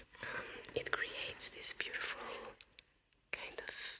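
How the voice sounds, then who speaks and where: The voice is a whisper. Background noise is clearly present. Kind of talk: ASMR whispered talk to camera. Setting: home, late at night. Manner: whispered, soft-spoken.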